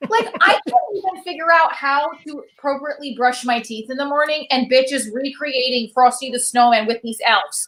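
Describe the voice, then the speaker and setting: Animated in tone, a woman with a high pitch talks with hardly any pauses, ordinary pitch variation and big swings in loudness. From Italian-American household, US. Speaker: stand-up comedian. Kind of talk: stand-up. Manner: fast.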